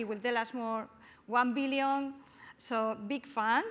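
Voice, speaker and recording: A woman speaks with a Spanish accent. Her pitch is high and her intonation fairly even. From Spain. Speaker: panel moderator, business school academic. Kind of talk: panel moderation. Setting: stage with audience.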